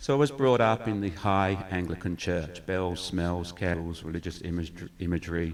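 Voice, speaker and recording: A man's very deep, low voice in an English accent, at a moderate pace. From England, Newmarket near Cambridge. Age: 50s. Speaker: church community worker. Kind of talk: testimony.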